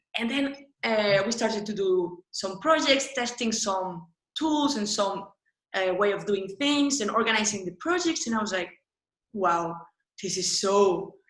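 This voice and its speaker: A woman speaks with a fairly high pitch and lively intonation. Her pace is fairly slow. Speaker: UX designer. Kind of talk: interview. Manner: animated.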